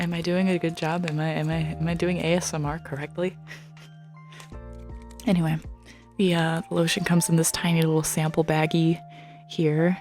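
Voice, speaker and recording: Over music in the background, a woman speaks in a gentle tone at a fairly low pitch with monotone, flat intonation. Her pace is fairly quick, with long, frequent pauses. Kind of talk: ASMR unboxing haul, casual talk to camera. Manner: soft-spoken, gentle, chatty.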